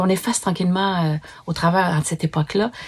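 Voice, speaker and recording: A fairly quick, somewhat breathy woman's voice. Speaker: book reviewer. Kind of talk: book review talk. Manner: hesitant, with fillers and restarts.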